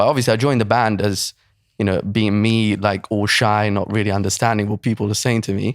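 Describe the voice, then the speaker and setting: At a fairly quick pace, a man speaks with a fairly low pitch and monotone, flat intonation. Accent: Italian. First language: Italian. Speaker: online fitness coach. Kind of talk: casual chat.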